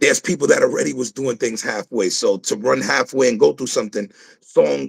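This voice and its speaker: A man talks at a moderate pace with an American accent. The sound is dry and close, with no echo. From South Bronx, New York. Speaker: rapper. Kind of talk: interview.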